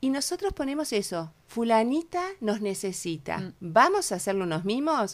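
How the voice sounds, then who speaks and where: Speech in a Uruguayan accent comes at a fairly slow pace on a very clean recording with a silent background. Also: woman. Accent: Rioplatense Spanish (Uruguayan). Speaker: cancer support group co-founder. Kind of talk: radio interview. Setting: radio studio.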